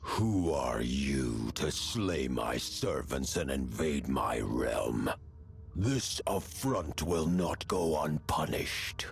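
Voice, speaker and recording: A man speaks in a booming, put-on character voice at a very slow pace, with music playing in the background. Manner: menacing, threatening.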